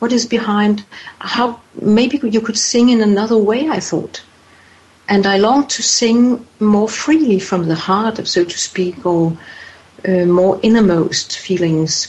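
Speaking with a non-native accent at a fairly slow pace, a woman uses a fairly high pitch with ordinary variation over noticeable background noise. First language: not English. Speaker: author, voice coach and healer. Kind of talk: interview. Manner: hesitant, repeating words.

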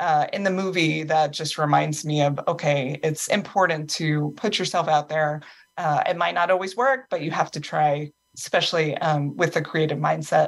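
In an unremarkable speaking voice, a woman with a fairly low pitch speaks at a moderate pace, recorded very cleanly against a silent background. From US East Coast. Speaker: author. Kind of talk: casual chat.

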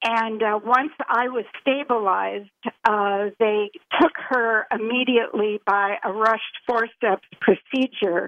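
This is a normal speaking voice at a fairly slow pace. Its pitch variation is ordinary. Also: woman. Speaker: brain injury charity founder. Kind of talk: interview.

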